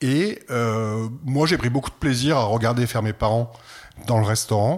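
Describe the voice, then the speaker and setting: On a very clean recording with a silent background, a man with a normal speaking voice talks at a fairly slow pace and medium pitch, with ordinary pitch variation and very even loudness. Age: 60s. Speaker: art centre director. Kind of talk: interview.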